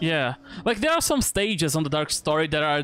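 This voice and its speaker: The speaker keeps a medium tempo while music runs underneath. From Brazil. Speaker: streamer. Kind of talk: casual chat. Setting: live stream.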